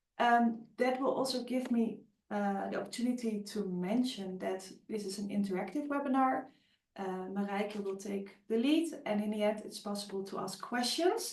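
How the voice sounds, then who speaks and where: A somewhat breathy woman with a Dutch accent speaks at medium pitch and a moderate pace, with ordinary pitch variation and audible room echo. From Netherlands. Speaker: webinar host, agile coach. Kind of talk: webinar presentation. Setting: online webinar. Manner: hesitant, many fillers.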